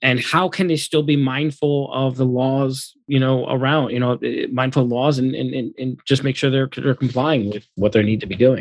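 Using a normal speaking voice, a man keeps a moderate pace at medium pitch with hardly any pauses. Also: fairly even intonation. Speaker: attorney co-host. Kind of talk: podcast interview.

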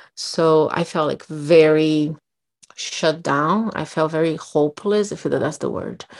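Over a quiet background, a woman with a very deep, low pitch speaks at a fairly slow pace with fairly even intonation. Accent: Brazilian. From Brazil. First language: Portuguese. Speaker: podcast co-host. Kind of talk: casual chat.

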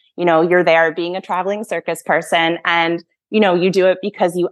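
A woman's plain, everyday voice with an American accent, fairly low in pitch and fairly even in intonation, against a quiet background. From Massachusetts, US. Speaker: former horse professional, project manager. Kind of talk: casual interview chat.

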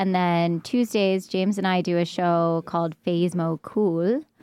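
A woman's fairly low voice, fairly slow in pace, with fairly even intonation. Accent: New York. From New York. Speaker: stand-up comedian. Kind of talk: casual chat.

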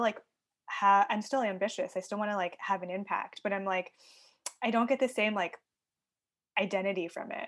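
A woman speaks at a fairly quick pace in a plain, everyday voice with a medium pitch. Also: quiet background. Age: 30s. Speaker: human design coach. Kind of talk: casual chat.

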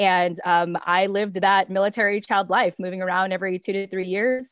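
Against a silent background on a very clean recording, a woman talks at a very fast pace. Her pitch is medium and her intonation fairly even. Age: 30s. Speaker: entrepreneur and podcaster, military spouse. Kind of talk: casual chat.

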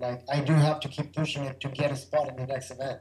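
A man speaks in a fairly high, monotone voice with flat intonation. Noticeable background noise runs behind him. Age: 30s. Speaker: freestyle motocross rider. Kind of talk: casual chat.

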